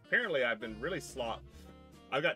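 Faint background music accompanies a man's voice. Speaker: live streamer. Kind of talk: casual stream chat. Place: home room.

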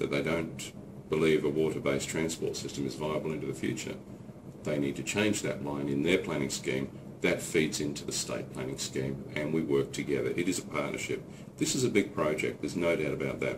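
Fairly quick and fairly even in intonation, a man's very deep, low voice comes through noticeable background noise. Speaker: politician. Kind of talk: explanatory statement to camera. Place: office. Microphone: camera far.

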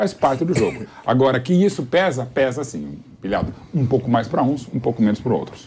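A man with a Brazilian accent, at a fairly quick pace with hardly any pauses and lively intonation, over light background noise. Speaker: football pundit. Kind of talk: casual chat. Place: studio. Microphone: lapel.

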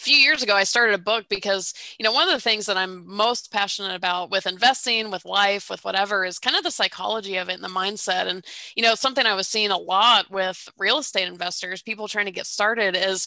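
Against a quiet background, a bright, sharp voice races at a very fast pace with hardly any pauses and ordinary pitch variation, the sound dry with no echo. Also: woman. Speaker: guest. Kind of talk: interview answer. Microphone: headset.

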